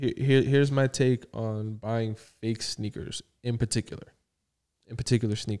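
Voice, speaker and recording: At a moderate pace, a man with a dark, mellow tone speaks at a medium pitch with fairly even intonation, in a dry, close sound with no echo. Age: 20s. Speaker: podcast co-host. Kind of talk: casual chat.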